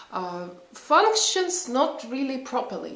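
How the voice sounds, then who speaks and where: A woman talks at a fairly slow pace, with audible room echo and noticeable background noise in the recording. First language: not English. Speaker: psychologist and vlogger. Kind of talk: casual vlog talk. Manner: halting, many fillers.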